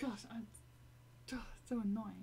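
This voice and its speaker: A woman speaks with an English accent. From Britain. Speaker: gaming live streamer. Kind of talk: casual live stream chat. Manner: halting, many fillers.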